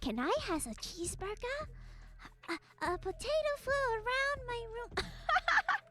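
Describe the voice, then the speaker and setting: Using a put-on character voice, a woman speaks at an extremely high pitch and a fairly slow pace. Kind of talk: broken meme-speak. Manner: silly, comic.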